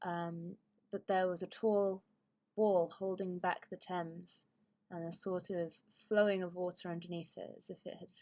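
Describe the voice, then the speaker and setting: In a British accent, a woman talks fairly slowly at a medium pitch, her dark, mellow tone flat and monotone. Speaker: YouTuber. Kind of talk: casual monologue. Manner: halting, many fillers.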